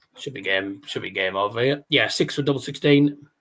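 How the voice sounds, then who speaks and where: A man in a Teesside accent, fairly high in pitch, at a moderate pace with ordinary pitch variation. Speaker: darts livestream host. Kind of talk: casual live watchalong chat. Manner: halting, repeats words.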